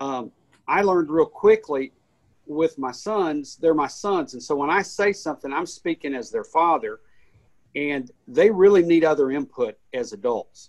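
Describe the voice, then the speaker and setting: At a moderate pace, a man uses an unremarkable speaking voice with a fairly high pitch and ordinary pitch variation. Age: 50s. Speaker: pastor. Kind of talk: casual chat. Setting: studio.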